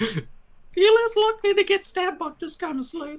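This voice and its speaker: A man puts on a squeaky character voice at an extremely high pitch. His pace is moderate. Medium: actual play. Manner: casual, matey.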